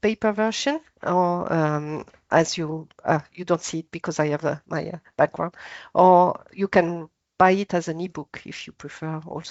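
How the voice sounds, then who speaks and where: In a French accent, a woman speaks at a fairly low pitch with ordinary pitch variation. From France. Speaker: author. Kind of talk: panel discussion. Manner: halting.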